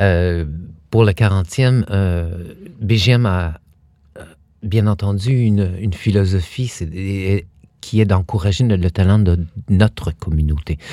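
A man with a dark, mellow tone and fairly low pitch speaks at a very slow pace, with long, frequent pauses and ordinary pitch variation. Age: 50s. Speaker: dance company artistic director. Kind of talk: interview. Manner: halting.

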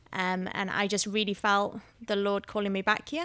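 A woman speaks at a moderate pace and medium pitch in a very clean recording with a silent background. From Wales, Vale of Glamorgan near Cardiff. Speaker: pastoral staff, prayer minister. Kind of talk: interview conversation on faith. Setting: home recording, kids outside.

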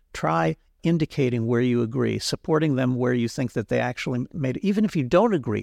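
Speech comes at a fairly quick pace. The recording is very clean, and the background is silent. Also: man, dry, close sound with no echo. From Israel. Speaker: philosopher and political theorist. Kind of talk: interview. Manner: halting, with many repeated words.

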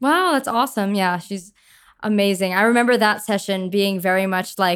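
A woman with an American accent speaks in a normal speaking voice at a moderate pace, with ordinary pitch variation. The recording is very clean, with a silent background. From Long Island, New York. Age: 20s. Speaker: singer-songwriter. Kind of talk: casual chat.

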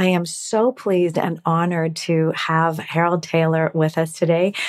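A woman's plain, everyday voice, fairly low in pitch, at a fairly slow pace. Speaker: podcast host. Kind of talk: interview conversation.

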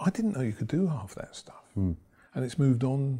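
A man with an English accent talks at a fairly quick pace in a medium pitch. His tone is dark and mellow, and his voice is somewhat breathy. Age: 60s. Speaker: property investor and trainer. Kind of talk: interview. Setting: studio.

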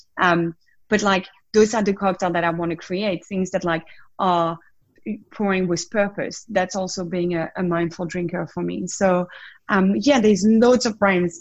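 In a French accent, a woman speaks at a medium pitch. Her intonation stays fairly even. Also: moderate pace. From southern France. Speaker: wellness coach and former drinks brand ambassador. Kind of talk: casual interview.

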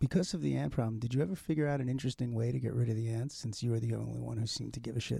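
Talking at a very fast pace with hardly any pauses, a man has a medium pitch, lively intonation and a dark, mellow tone. His voice is somewhat breathy, and the recording is very clean with a silent background. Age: 50s. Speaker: podcast host. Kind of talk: casual interview chat. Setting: studio. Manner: animated.

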